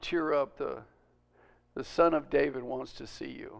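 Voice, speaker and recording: A man's gruff, put-on character voice, fairly high-pitched, at a moderate pace, in a very clean recording with a silent background. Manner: cheerful, forced kindness.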